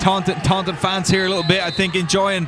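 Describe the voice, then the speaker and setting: Audible room echo and noticeable background noise are both present in the recording. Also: man. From Ireland. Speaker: soccer color commentator. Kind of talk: live commentary.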